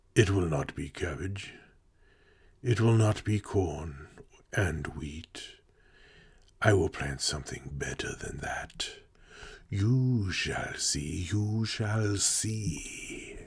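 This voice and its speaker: A man's put-on character voice at a fairly low pitch, very slow pace and long, frequent pauses. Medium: read story. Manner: warm, gentle.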